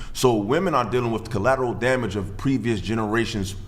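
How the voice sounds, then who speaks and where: A man speaks with audible room echo. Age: 30s. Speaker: podcast guest. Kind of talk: casual debate. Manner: halting.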